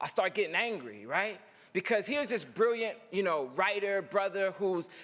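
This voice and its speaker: An animated man projects a raised voice, high in pitch and bright and sharp in tone, with lively intonation. The recording is very clean, with a silent background. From North Philadelphia, US. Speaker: poet and commencement speaker. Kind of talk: commencement speech with storytelling. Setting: stage with audience.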